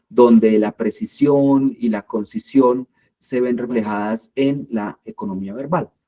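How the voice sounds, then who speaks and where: A man with a strong Colombian accent speaks very slowly in a dark, mellow tone with ordinary pitch variation, and the sound is dry and close with no echo. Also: medium pitch for a man. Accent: strong paisa accent, marked s. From Colombia, Medellín. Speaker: creative writing workshop leader. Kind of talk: workshop lecture. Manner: hesitant, many fillers.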